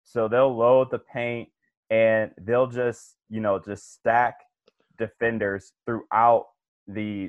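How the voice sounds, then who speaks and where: A man with a medium pitch speaks at a very slow pace in a monotone, flat intonation. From Cleveland, Ohio. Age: 20s. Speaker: sports podcast co-host. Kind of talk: casual sports chat.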